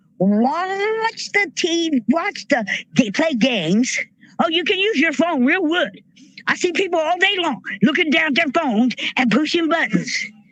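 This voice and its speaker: With an American accent and very wide pitch swings, the speaker goes at a fairly slow pace over noticeable background noise. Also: woman, extremely high pitch for a woman. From rural US, farm upbringing. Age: 60s. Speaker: army veteran and protest speaker. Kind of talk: rally speech. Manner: animated.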